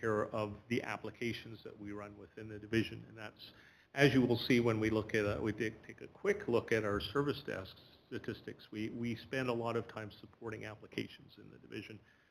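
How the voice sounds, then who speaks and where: A man's fairly low, flat, monotone voice at a fairly quick pace, with big swings in loudness and a Manitoban accent. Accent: Canadian (Manitoba). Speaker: school division IT department head. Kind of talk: presentation to a board. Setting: board meeting room.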